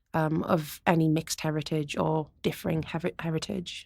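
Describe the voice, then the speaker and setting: A woman with a Geordie accent is heard on a very clean recording with a silent background. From northern England, Gateshead (Tyneside). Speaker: experimental musician and turntablist. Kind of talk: interview conversation. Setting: university campus.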